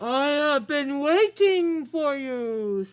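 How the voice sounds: A put-on character voice pitched high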